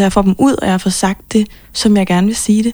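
A woman's dark, mellow voice at medium pitch, moderate in pace, with fairly even intonation. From Copenhagen, Denmark. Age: 20s. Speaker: pop singer-songwriter. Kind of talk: interview.

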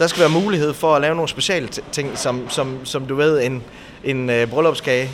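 A fairly high-pitched male voice with ordinary pitch variation, over noticeable background noise. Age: 30s. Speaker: bakery and café owner. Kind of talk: interview. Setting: on location in a bakery. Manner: hesitant, many filler sounds.

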